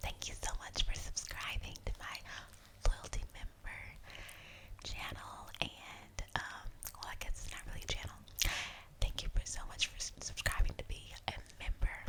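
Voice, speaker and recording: A woman whispering at a fairly slow pace, with big swings in loudness, long, frequent pauses and noticeable background noise. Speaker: ASMR creator. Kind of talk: ASMR whispered storytime ramble. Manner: close whispering with clicky mouth sounds.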